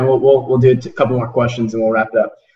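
The speaker has an American accent and a normal speaking voice. The intonation stays fairly even. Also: man. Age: 20s. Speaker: podcast host. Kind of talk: interview. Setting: video call.

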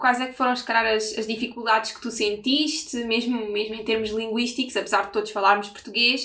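Her bright, sharp tone stays monotone and flat as the woman talks with hardly any pauses and big swings in loudness. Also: fairly high pitch for a woman, moderate pace. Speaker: podcast host. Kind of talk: casual interview.

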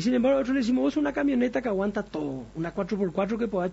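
Here a man talks at a very fast pace. His high-pitched voice carries lively intonation. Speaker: doctor and radio health show host. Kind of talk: radio health talk show.

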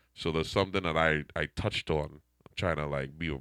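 A man speaks with a very deep, low pitch and a creaky vocal fry at a fairly quick pace. His intonation stays fairly even, and the sound is dry and close with no echo. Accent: Trinidadian. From Trinidad and Tobago. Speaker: DJ. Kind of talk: casual interview chat. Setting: radio studio.

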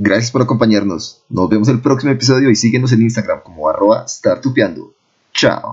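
Somewhat breathy, a man talks at a fairly quick pace. His loudness stays very even while his pitch varies in an ordinary way. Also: medium pitch for a man. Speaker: podcast host. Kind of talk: interview; outro. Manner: talkative.

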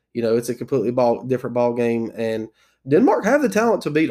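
The delivery comes at a very fast speed. It is spoken in an American accent. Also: man. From South Carolina. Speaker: soccer podcast host. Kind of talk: solo podcast commentary. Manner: casual with many fillers.

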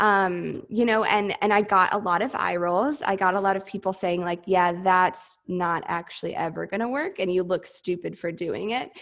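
Keeping a moderate pace with hardly any pauses, a woman uses a plain, everyday voice at a medium pitch with ordinary pitch variation. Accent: American. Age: 20s. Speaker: entrepreneur and former Air Force officer. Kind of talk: interview.

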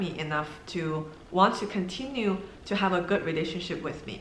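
Noticeable background noise and audible room echo around a woman, pitch varying in an ordinary way. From China. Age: 30s. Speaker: YouTuber and loan agent. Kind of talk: personal vlog monologue.

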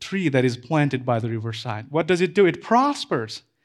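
A man with a non-native accent, fairly high in pitch, at a moderate pace with ordinary pitch variation, in a very clean recording over a silent background. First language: not English. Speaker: pastor. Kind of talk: sermon. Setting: church.

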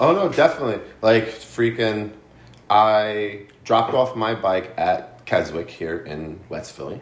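A man with an American accent talks fairly slowly at a fairly low pitch, in an unremarkable speaking voice. His intonation is lively, and his loudness swings widely. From New Jersey. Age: 30s. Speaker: podcast guest. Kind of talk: casual chat.

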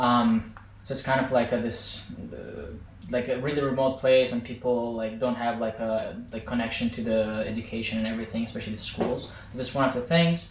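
Against noticeable background noise, a man talks with an Azerbaijani accent in a medium pitch. His pace is fairly quick, and his pitch varies in an ordinary way. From Azerbaijan, Baku. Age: 20s. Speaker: podcast guest, former student. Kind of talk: casual chat.

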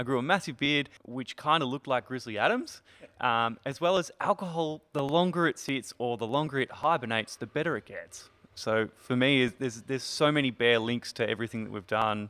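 A man with an Australian accent, bright and sharp in tone, medium in pitch with ordinary variation, at a fairly quick pace, in a very clean recording with a silent background. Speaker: distillery owner, former teacher. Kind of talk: casual interview.

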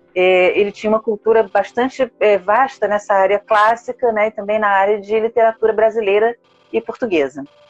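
Music plays in the background behind a woman. Her pitch is fairly high and her intonation fairly even. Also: moderate pace, very even loudness. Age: 50s. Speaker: author and librarian. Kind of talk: casual interview.

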